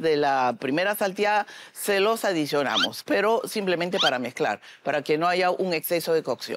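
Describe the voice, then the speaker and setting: Against loud background noise, a woman speaks at a fairly slow pace in a dry sound with no echo. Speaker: chef judge instructor. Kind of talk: tutorial. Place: studio. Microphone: lapel.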